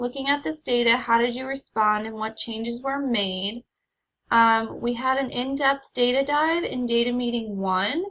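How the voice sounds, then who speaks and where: This woman's voice is high-pitched, with ordinary pitch variation. She talks at a moderate pace. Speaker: teacher. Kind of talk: recorded presentation.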